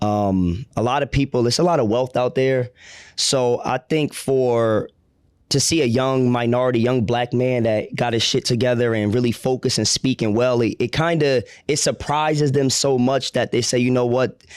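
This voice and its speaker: On a very clean recording with a silent background, a man in an ordinary speaking voice talks at a moderate pace with fairly even intonation and very even loudness. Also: medium pitch for a man. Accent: American. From New Jersey shore, Ocean County. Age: 30s. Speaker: real estate investor. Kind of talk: interview. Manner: casual.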